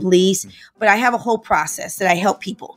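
A woman's medium-pitched voice, energetic and animated, at a fairly quick pace with music in the background. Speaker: relationship coach. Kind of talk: interview. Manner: energetic, animated.

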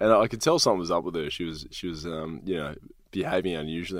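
A man talks at a very fast pace with an Australian accent. His pitch is very deep and low. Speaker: ex-soldier and speaker. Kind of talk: casual interview.

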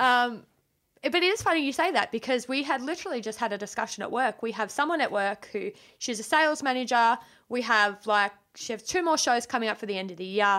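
A woman with an Australian accent speaks very fast at a high pitch, with a bright, sharp tone and lively intonation. The recording is very clean, with a silent background. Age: 20s. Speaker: podcast guest. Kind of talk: casual chat. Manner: animated.

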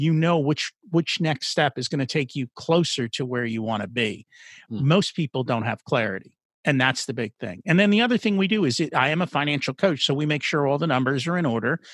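Recorded dry and close with no echo and a silent background in a very clean recording, a man with an unremarkable speaking voice and an American accent speaks with lively intonation. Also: fairly high pitch for a man, fairly quick pace. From New Jersey. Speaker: financial coach. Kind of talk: interview.

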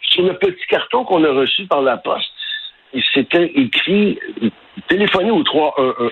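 A plain, everyday voice moves at a fairly slow pace. Its intonation is lively. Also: man. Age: 60s. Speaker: concerned local resident. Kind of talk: radio interview.

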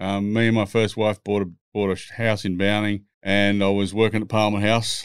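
A man with an Australian accent talks at a fairly quick pace. His fairly low voice stays flat and monotone. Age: 60s. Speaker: former racing driver and music producer. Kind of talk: casual chat, storytelling. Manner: blunt, swearing, storytelling.

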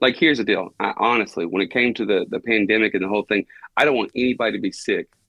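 An American accent marks this man's speech. He talks at a very fast pace with ordinary pitch variation. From Texas, Buna. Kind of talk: interview. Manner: animated.

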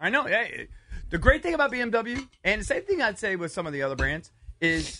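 The voice is raised and projected, with a bright, sharp tone, very wide pitch swings and a moderate pace. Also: man, extremely high pitch for a man. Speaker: sports radio host. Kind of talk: casual sports talk banter.

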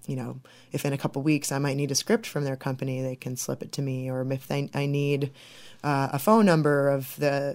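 A woman talks with a Midwestern American accent. Her pitch is very deep and low. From southwest Michigan. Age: 20s. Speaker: film director. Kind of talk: interview.

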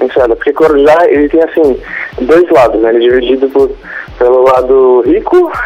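A man speaks against noticeable background noise. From Brazil, Guarulhos area (São Paulo). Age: 20s. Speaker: caller. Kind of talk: phone-in advice call. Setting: phone call.

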